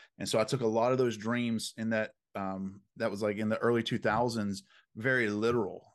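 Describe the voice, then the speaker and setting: A man with a Southern US accent speaks at a moderate pace in a fairly low pitch. His intonation stays fairly even over a quiet background. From US South. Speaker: dream interpreter. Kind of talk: interview.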